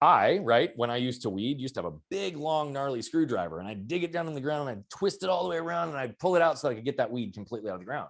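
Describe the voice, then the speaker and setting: On a very clean recording with a silent background, the speech comes at a very fast pace with very wide pitch swings and big swings in loudness. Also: man. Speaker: mindset and performance coach. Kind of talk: podcast interview.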